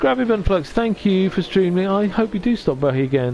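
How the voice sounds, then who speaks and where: A man with a Welsh accent speaks at a moderate pace with very wide pitch swings. Noticeable background noise is present. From North Wales. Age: 50s. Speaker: streamer and voice actor. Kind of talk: casual chat.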